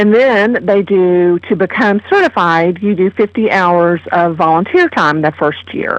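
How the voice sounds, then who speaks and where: At a fairly slow pace with hardly any pauses, a woman with a slight Kentucky accent speaks at a medium pitch with ordinary pitch variation and very even loudness, in a dry, close sound with no echo. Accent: slight Kentucky hillbilly twang. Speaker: master gardener program coordinator. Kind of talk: radio interview.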